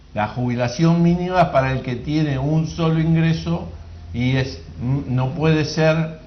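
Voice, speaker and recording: A man's fairly high, lively voice at a fairly slow pace, with audible room echo. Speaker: workers' representative on social security board. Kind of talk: call-in radio Q&A.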